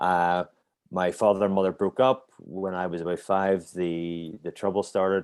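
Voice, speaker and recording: With a Northern Irish accent, the speaker talks at a moderate pace on a very clean recording with a silent background. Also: man, very deep, low pitch for a man, fairly even intonation. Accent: Northern Irish (Belfast). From Northern Ireland, Belfast. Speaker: martial arts instructor. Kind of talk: interview. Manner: halting.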